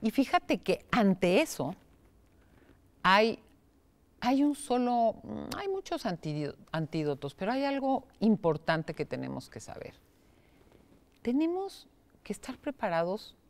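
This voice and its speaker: A woman talks at a very slow pace with long, frequent pauses. Her pitch swings very widely and her loudness shifts in big swings. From Mexico. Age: 60s. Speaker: psychotherapist; guest. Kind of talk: interview. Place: studio.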